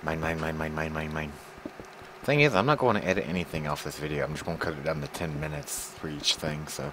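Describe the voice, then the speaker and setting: Amid noticeable background noise, a man speaks at a very fast pace in a very deep, low voice with fairly even intonation. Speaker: video game streamer. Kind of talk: casual chat while gaming. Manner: stumbling over words.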